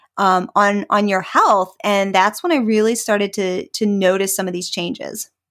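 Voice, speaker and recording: A woman with an ordinary speaking voice talks at a moderate pace in a medium pitch, with fairly even intonation and hardly any pauses. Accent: American. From rural Pennsylvania, US. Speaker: breast cancer survivor and wellness blogger. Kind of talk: casual interview.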